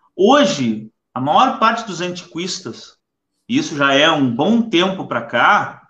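A man talks fairly slowly, and the room's echo can be heard around him. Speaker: live stream host. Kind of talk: casual chat. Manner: halting. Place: home room. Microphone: webcam.

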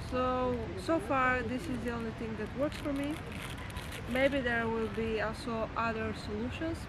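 Soft-spoken woman, fairly high in pitch, at a fairly slow pace with ordinary pitch variation, over clear background noise

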